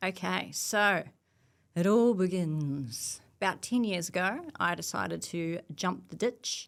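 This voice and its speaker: Speaking very slowly in a New Zealand accent, a woman with a fairly low pitch is heard in a very clean recording with a silent background. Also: ordinary pitch variation. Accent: New Zealand, noticeable. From New Zealand, Nelson, South Island. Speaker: cybersecurity professional. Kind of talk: casual interview chat.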